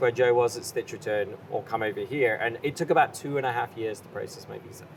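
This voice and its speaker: A man with a British accent speaks at a very fast pace. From England, London. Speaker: chef and farm business partner. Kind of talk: podcast interview. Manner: animated.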